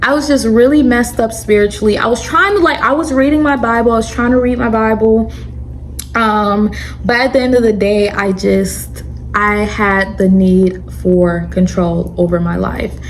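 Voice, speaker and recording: A woman speaks in an animated tone at a moderate pace with very even loudness. Her voice carries noticeable background noise and audible room echo. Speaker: YouTuber sharing religious testimony. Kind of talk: storytime testimony monologue. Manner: stuttering.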